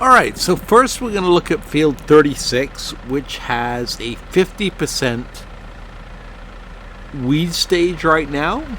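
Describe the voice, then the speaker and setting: Amid noticeable background noise, a man with a fairly high pitch talks at a fairly slow pace with very wide pitch swings. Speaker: farming game video creator. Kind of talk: casual gameplay tutorial commentary.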